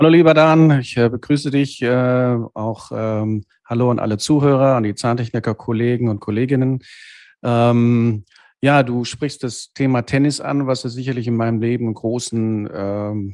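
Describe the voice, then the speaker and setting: A man talks fairly slowly at a medium pitch with fairly even intonation. The background is quiet. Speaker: dental technician and business owner. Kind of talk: interview. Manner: halting, many fillers.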